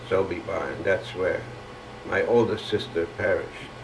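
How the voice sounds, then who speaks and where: Speaking with a German accent at a fairly slow pace, a man is heard over noticeable background noise. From Germany. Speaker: Holocaust survivor. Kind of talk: oral history testimony. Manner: hesitant, halting.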